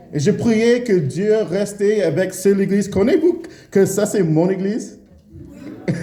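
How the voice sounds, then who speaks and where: A man at a very slow pace, with noticeable background noise and audible room echo. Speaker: preacher. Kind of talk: sermon. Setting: church. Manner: halting, many hesitations.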